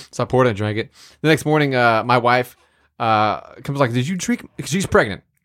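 A fairly quick pace from a man, an unremarkable speaking voice at medium pitch with ordinary pitch variation. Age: 30s. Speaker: podcast co-host. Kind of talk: casual chat.

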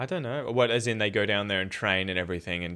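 A man with an Australian accent and a bright, sharp tone. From Australia, Victoria (Dandenong Ranges near Melbourne). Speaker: podcast host and English teacher. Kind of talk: casual chat. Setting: video call.

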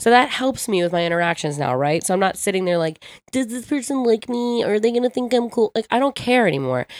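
Very fast woman with an American accent, fairly high pitch, lively intonation, dry, close sound and no echo. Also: very clean recording, silent background. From US Northeast, Ocean City, New Jersey. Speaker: DJ. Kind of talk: casual chat.

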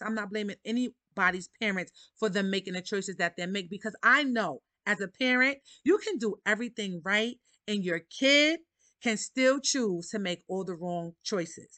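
With a New York accent, a woman speaks at a moderate pace and fairly high pitch in a bright, sharp tone, with ordinary pitch variation, against a quiet background in dry, close sound with no echo. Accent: New York City. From Harlem, New York City. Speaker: podcast host. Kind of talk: casual monologue.

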